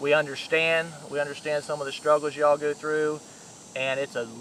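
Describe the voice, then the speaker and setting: Noticeable background noise surrounds a man speaking at a very fast pace. His intonation is monotone and flat. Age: 40s. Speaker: hunting video host. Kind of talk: casual video introduction.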